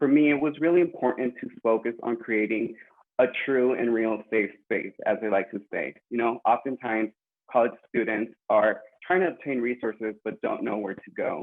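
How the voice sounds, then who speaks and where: With an American accent, a man talks in an ordinary speaking voice at a moderate pace, with ordinary pitch variation. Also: medium pitch for a man. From California, Woodland. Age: 20s. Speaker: student mental health advocate. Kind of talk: personal introduction on panel.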